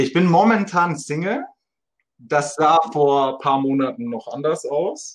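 Speaking at a very slow pace, a man with a fairly high pitch shows ordinary pitch variation. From Munich, Germany. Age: 20s. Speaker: dating podcast guest. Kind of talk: casual interview.

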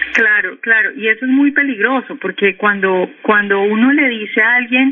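A fairly high-pitched woman at a moderate pace, with noticeable background noise. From Colombia, Cali. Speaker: economist and news portal editor. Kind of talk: radio interview. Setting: phone call.

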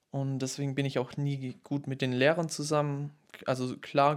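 Delivered at a moderate pace, a normal speaking voice carries fairly even intonation. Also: man. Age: 20s. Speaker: podcaster. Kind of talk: solo monologue. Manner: casual.

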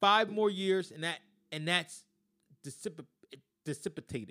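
This man has a high pitch and ordinary pitch variation, talking at a moderate pace with a dry, close sound and no echo. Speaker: sports podcast host. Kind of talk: angry sports rant. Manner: fired-up, loud, emphatic.

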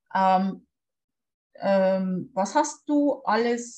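A woman's medium-pitched voice with very wide pitch swings, music in the background. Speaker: podcast host. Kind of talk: casual interview. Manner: hesitant, many fillers.

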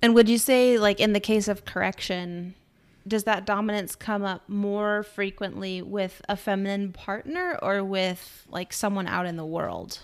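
On a very clean recording with a silent background, a woman speaks at a medium pitch and a fairly slow pace. Hers is an unremarkable speaking voice with fairly even intonation. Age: 30s. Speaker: podcast co-host. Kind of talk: casual chat.

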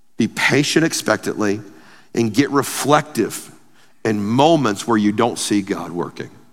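A man with a normal speaking voice talks at a fairly slow pace and medium pitch, with ordinary pitch variation, on a very clean recording with a silent background. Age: 40s. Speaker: pastor. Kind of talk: sermon.

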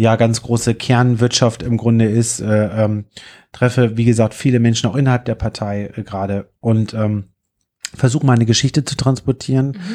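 Speaking at a moderate pace, a man with a medium pitch has a dark, mellow tone and fairly even intonation. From northern Germany, Hannover. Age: 30s. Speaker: fairground business owner and political candidate. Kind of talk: casual interview. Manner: talkative, long-winded.

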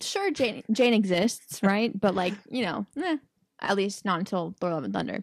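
A woman at medium pitch with vocal fry, ordinary pitch variation and a moderate pace, in a dry, close sound with no echo. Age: 20s. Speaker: podcast co-host. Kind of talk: casual chat.

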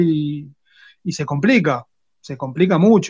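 Moderate pace and lively intonation over a quiet background. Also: man. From Argentina, Quilmes (Greater Buenos Aires). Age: 30s. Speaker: technical school teacher and woodworker. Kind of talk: casual interview chat.

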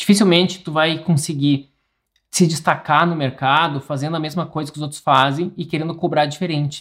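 Recorded very cleanly with a silent background, an ordinary speaking voice moves at a moderate pace with fairly even intonation. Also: man. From interior of Rio Grande do Sul, Brazil. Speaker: architect and podcast host. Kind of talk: solo educational podcast monologue. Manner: informal, frequent fillers and restarts.

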